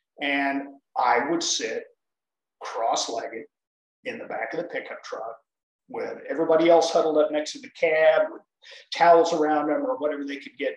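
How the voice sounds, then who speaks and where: At a moderate pace, a man with an American accent speaks with long, frequent pauses and big swings in loudness. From US South and Southwest. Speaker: performing strongman. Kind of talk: casual interview.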